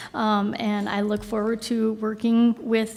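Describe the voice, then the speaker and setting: This woman has a fairly high pitch and speaks with a Minnesotan accent. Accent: Minnesota. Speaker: new city employee. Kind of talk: self-introduction at council meeting. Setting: city council meeting.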